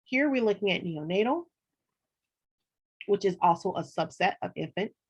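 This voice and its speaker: Her voice is somewhat breathy, and she is a woman with lively intonation. She talks at a fairly quick pace. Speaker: college instructor. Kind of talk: online lecture.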